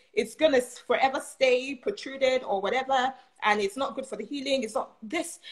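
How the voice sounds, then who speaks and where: A woman speaks at a very fast pace and a high pitch. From Nigeria. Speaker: nurse. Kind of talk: casual chat.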